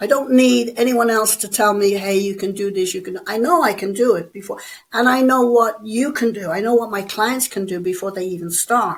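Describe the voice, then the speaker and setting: This woman speaks with an Irish accent, her pitch fairly high and her pitch variation ordinary. She keeps a moderate pace with hardly any pauses. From Ireland. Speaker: bodybuilder and personal trainer. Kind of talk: interview.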